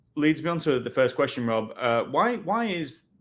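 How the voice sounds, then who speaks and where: A man with a British accent at a fairly quick pace. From UK. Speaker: webinar host, sales executive. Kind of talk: webinar interview.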